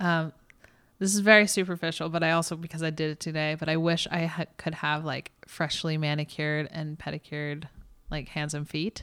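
A woman's very deep, low voice with an American accent, animated in tone and at a fairly quick pace. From small-town Texas. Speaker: talent manager. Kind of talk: casual interview chat. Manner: animated, laughing often.

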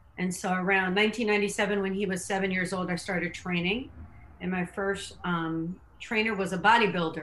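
A woman talks fairly quickly in a monotone, flat intonation over noticeable background noise. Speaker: fitness trainer and wellness coach. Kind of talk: interview conversation.

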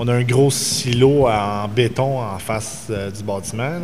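Against noticeable background noise and audible room echo, a man at medium pitch speaks with fairly even intonation. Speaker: brewery co-owner. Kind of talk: casual chat.

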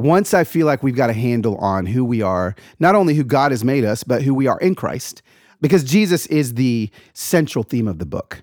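A man with an American accent speaks at a moderate pace with very wide pitch swings. The recording is very clean, the background silent. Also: medium pitch for a man. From US South, Atlanta, Georgia. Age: 40s. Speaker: author and speaker. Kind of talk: casual chat.

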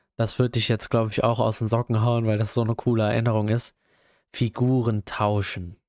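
Recorded very cleanly against a silent background with a dry, close sound and no echo, a man at medium pitch talks at a fairly quick pace in a flat monotone, his loudness very even. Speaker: student podcast host. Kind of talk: casual chat.

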